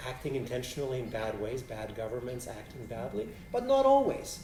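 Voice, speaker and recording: The man talks at a moderate pace, and audible room echo can be heard around him. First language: Polish. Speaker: philosophy professor. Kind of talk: Q&A after a lecture. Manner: halting, many restarts.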